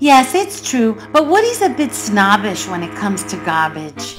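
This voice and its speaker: A put-on character voice speaks at a moderate pace over clear background music. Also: female-sounding voice. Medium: read story.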